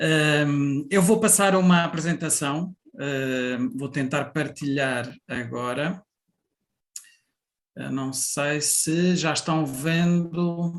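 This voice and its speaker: With ordinary pitch variation and a fairly high voice, a man speaks at a very slow pace. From Portugal. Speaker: national tourism board president. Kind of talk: conference presentation. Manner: hesitant, many fillers.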